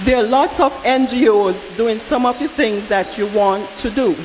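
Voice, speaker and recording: A woman with a slight non-native accent speaks at a moderate pace in a high pitch with ordinary pitch variation, over noticeable background noise. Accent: slight foreign. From outside Barbados. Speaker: audience member at town hall. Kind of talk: public comment at town hall. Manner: halting, repeats words.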